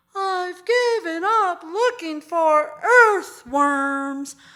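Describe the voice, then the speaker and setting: A woman's squeaky put-on character voice, extremely high-pitched and very slow. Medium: stage play. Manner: confident, upbeat.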